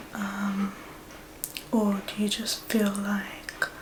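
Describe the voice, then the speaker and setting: Against noticeable background noise, a soft-spoken woman talks in a calm, gentle tone at a medium pitch. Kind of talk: ASMR therapy role play. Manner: soft-spoken, calm, gentle.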